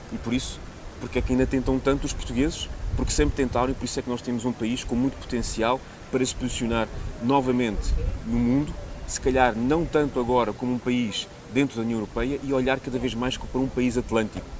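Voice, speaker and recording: Against noticeable background noise, a man speaks in a flat monotone at a fairly quick pace. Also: medium pitch for a man. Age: 30s. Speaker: politician, parliamentary candidate. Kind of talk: political interview.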